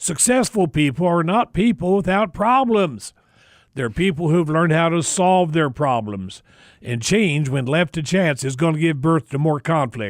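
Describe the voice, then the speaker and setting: A fairly high-pitched man speaks with an American accent and very wide pitch swings. The recording is very clean, with a silent background and a dry, close sound free of echo. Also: moderate pace. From US Midwest, Indiana. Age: 70s. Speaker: radio host. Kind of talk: radio talk show. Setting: studio.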